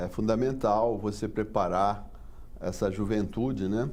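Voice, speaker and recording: At a fairly slow pace, a man speaks with a fairly low pitch as room echo is audible. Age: 60s. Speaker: port engineering consultant. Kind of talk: interview. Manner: halting.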